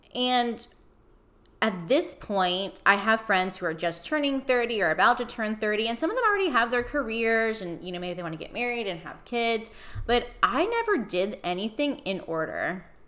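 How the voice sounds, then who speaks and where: A woman speaks at a moderate pace with a fairly high pitch and an animated tone. Her intonation is lively, and there is noticeable background noise. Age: 30s. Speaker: podcast host. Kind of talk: personal monologue.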